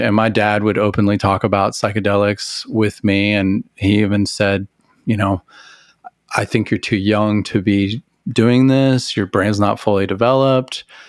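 A man with an American accent talks at a fairly slow pace in a fairly low pitch, with a plain, everyday voice. His intonation stays fairly even and his loudness very even. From Texas, Amarillo. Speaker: record label founder. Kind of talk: casual interview chat.

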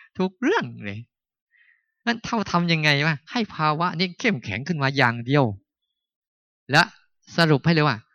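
A man's fairly high voice moves in very wide pitch swings. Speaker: Buddhist monk, meditation teacher. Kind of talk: dharma talk at a meditation retreat.

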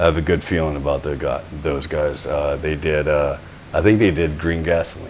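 Amid noticeable background noise and audible room echo, a man with a very deep, low pitch talks at a moderate pace with fairly even intonation. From Louisiana, North Shore. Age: 40s. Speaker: metal band singer and guitarist, tattoo artist. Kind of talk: casual interview chat.

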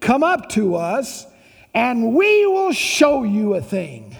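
A man's put-on character voice at an extremely high pitch, very slow in pace, with very wide pitch swings. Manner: taunting.

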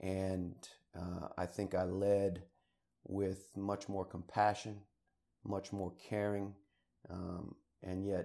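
A man's very deep, low, dark and mellow voice with an American accent, monotone and flat, at a very slow pace with long, frequent pauses, on a very clean recording with a silent background. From Maryland, near Washington D.C. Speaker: retired army officer and college cadet trainer. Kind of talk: interview. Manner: hesitant, many fillers.

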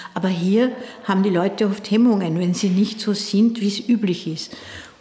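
A woman talks with fairly even intonation. Noticeable background noise can be heard. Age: 60s. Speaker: dance teacher. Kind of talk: interview.

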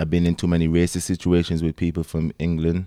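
A man talks at a very deep, low pitch, captured dry and close with no echo. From Antigua. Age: 30s. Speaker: gym owner. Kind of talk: casual interview chat. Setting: studio.

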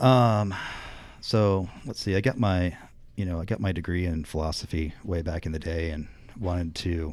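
A moderate pace and ordinary pitch variation with an American accent, on a very clean recording with a silent background. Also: man. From northern Indiana, US Midwest. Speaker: brewmaster. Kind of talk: casual interview.

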